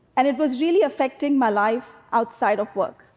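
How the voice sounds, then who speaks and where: This woman speaks with a high pitch and lively intonation. Her pace is fairly slow. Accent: Indian. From India. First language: Hindi. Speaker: tech company executive. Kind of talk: public talk.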